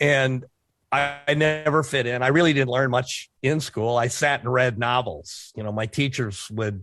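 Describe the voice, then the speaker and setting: A man's normal speaking voice, medium in pitch with ordinary pitch variation, at a moderate pace against a quiet background. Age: 60s. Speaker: author and former skydiver, army veteran. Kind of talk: interview, casual chat. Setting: podcast interview.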